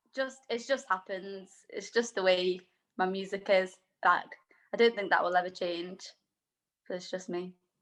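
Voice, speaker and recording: With a Manchester accent, a woman speaks in a fairly even intonation, leaving long, frequent pauses. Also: medium pitch for a woman, moderate pace. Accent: Mancunian. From Manchester, northern England. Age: 20s. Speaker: singer-songwriter. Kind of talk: casual interview chat. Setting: video call.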